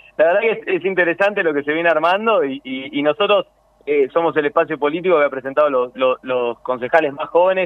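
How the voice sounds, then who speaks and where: This man's voice sits fairly high, his pitch varying in an ordinary way as he talks at a fairly quick pace. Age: 30s. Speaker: politician and lawyer. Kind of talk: radio interview. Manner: halting.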